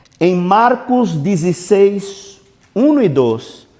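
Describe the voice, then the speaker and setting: A man talks in a Portuguese accent and a high pitch. His intonation is lively. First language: Portuguese (speaking Spanish). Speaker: pastor. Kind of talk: sermon.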